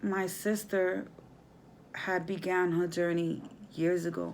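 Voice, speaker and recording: A woman at a very slow pace, with audible room echo. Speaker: spiritual vlogger. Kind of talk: casual vlog monologue. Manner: slow, halting.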